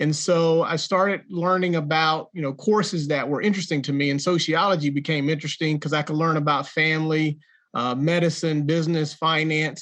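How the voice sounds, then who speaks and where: Against a quiet background, a man with a fairly high pitch talks at a moderate pace with fairly even intonation. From North Carolina (Jacksonville). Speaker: entrepreneur and author. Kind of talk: interview.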